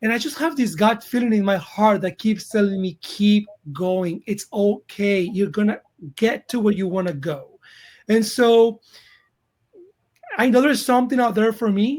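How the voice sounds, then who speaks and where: Spoken with a Colombian accent at a moderate pace, the voice shows ordinary pitch variation and takes long, frequent pauses. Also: man, high pitch for a man. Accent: Colombian Spanish accent, thicker when tired. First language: Spanish. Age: 40s. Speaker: actor. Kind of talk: interview.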